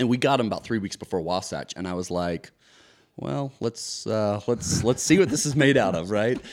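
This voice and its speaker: With lively intonation and a fairly low pitch, a man speaks at a fairly quick pace in an unremarkable speaking voice. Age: 30s. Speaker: running shoe company co-founder and ultrarunner. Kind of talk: casual interview. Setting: studio.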